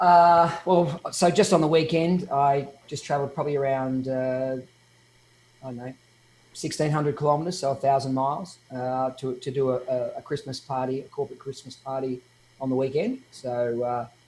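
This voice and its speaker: A man with an Australian accent talks at a moderate pace, his fairly high pitch held in a fairly even intonation. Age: 50s. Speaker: DJ. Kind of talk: interview.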